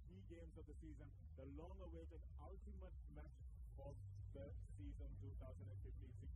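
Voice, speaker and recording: A man's dry voice, with no echo at all, competes with loud background noise. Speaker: presenter. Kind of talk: pre-match commentary. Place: stadium. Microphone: handheld.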